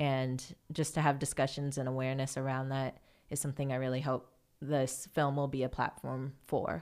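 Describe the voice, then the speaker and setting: This woman speaks at a moderate pace in a very deep, low pitch with flat, monotone intonation and an American accent. The recording is very clean, with a silent background. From US Midwest (Fairfield, Iowa). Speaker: film writer-director. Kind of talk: interview conversation.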